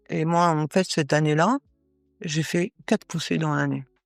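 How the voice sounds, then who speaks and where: Over music in the background, a woman speaks at a very deep, low pitch in a dry, close sound with no echo. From northern France. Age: 60s. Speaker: Paralympic athlete. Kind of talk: interview. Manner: halting, many hesitations.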